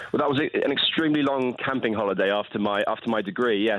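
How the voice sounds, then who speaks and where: A man talks at a very fast pace. He speaks with a southern English accent. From southern England, Portsmouth. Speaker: polar explorer. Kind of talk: radio interview. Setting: phone call. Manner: halting.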